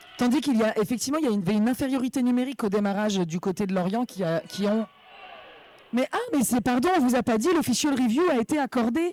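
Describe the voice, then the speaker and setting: The speech comes at a very fast pace in an animated tone. Noticeable background noise runs underneath. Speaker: roller derby announcer. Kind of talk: live commentary.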